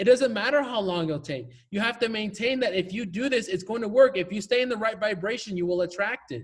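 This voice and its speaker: A man talks at a very fast pace with a high pitch and ordinary pitch variation. He leaves hardly any pauses. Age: 20s. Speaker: life coach. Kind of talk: coaching call Q&A.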